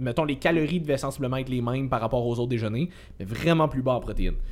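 A man's ordinary speaking voice with ordinary pitch variation. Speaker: podcast co-host, fitness coach. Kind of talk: casual chat.

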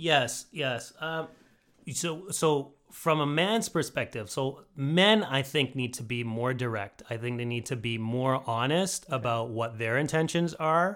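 An ordinary speaking voice from a man at a medium pitch, fairly slow pace and lively intonation, on a very clean recording with a silent background. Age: 40s. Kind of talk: casual interview.

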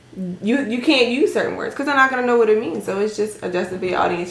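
The voice belongs to a woman. She uses ordinary pitch variation. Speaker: podcast guest. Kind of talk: casual, code-switches between slang and standard English.

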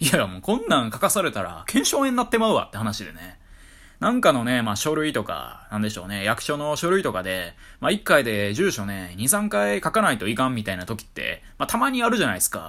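A man at a very fast pace with a Kyoto accent, in a very clean recording with a silent background. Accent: Kyoto-Kansai Japanese. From Kyoto, Japan. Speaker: solo podcaster. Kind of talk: casual monologue.

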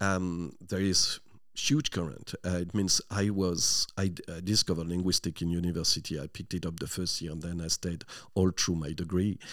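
In a very clean recording with a silent background, a man with a French accent speaks at a moderate pace in a very deep, low voice. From northern France, near Lille. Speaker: language teacher and linguist. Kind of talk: radio interview. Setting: studio.

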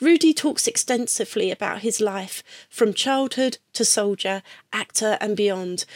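In a British accent, a woman speaks with a fairly high voice and ordinary pitch variation. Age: 50s. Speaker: podcast host. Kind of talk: scripted narration; interview.

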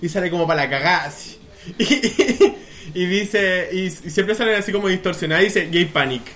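A man's high voice, with ordinary pitch variation, moves at a fairly quick pace against noticeable background noise. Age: young. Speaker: podcast co-host. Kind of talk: casual chat. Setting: outdoors.

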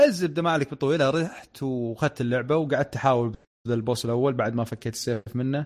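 A man's normal speaking voice at medium pitch, moderate pace with hardly any pauses, ordinary pitch variation, very clean recording with a silent background. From Saudi Arabia, Dammam. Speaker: tech content creator. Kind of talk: casual chat.

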